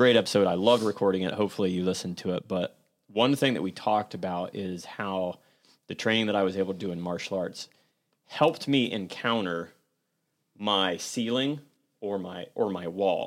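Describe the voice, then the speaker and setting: A man talks with an unremarkable speaking voice, keeping a moderate pace and ordinary pitch variation, in a very clean recording with a silent background. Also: fairly low pitch for a man. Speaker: podcast host. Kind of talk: casual roundtable conversation about grief.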